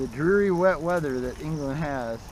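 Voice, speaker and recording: Fairly high male speech with ordinary pitch movement, noticeable background noise and audible room echo. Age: 60s. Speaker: recumbent cyclist and vlogger, military veteran. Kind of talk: casual vlog monologue while riding. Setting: outdoors on a bicycle ride. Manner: halting, many fillers.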